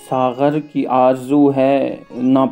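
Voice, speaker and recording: Music sits in the background behind a man with a medium pitch. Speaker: poetry reciter. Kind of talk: poetry reading.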